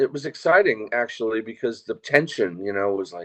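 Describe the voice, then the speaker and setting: A man's moderately paced delivery, his pitch varying in an ordinary way. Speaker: percussionist and singer. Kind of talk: interview.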